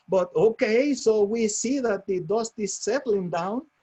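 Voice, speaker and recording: With a strong non-native accent, a man speaks at a high pitch in a dark, mellow tone with ordinary pitch variation. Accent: strong foreign. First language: Spanish. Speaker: real estate franchise owner. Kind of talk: motivational webinar talk. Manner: halting.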